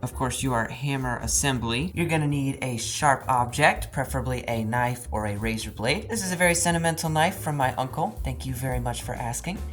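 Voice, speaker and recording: With hardly any pauses, the woman talks at a fairly quick pace over noticeable background noise. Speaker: piano restoration hobbyist youtuber. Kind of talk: tutorial. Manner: loud and boisterous.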